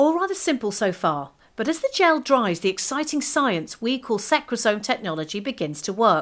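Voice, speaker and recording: With a British accent, a woman speaks in a fairly high voice with very wide pitch swings and hardly any pauses, on a very clean recording with a silent background. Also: moderate pace. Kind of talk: corporate explainer narration.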